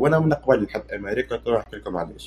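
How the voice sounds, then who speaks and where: Speaking at a fairly quick pace, a man uses a somewhat breathy voice of medium pitch with ordinary variation. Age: 20s. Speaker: university student. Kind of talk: casual talk.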